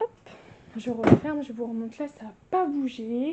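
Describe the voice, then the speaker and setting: This woman's high voice unfolds at a very slow pace. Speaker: lifestyle vlogger. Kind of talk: casual home tour vlog. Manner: animated.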